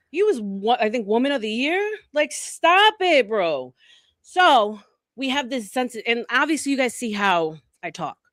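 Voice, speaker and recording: Speech with a New York accent comes at a fairly slow pace, with an animated tone and very wide pitch swings. The recording is very clean, with a silent background. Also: woman, high pitch for a woman. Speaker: panel guest, former beauty retail manager. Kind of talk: casual chat. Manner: direct.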